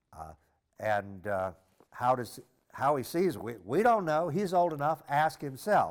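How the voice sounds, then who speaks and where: In an American accent, a man talks at a fairly slow pace with a fairly high pitch. His voice swings very widely in pitch, and the recording is very clean with a silent background. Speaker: priest or diocesan teacher. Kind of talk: lecture on scripture. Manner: halting, with frequent repetitions and fillers.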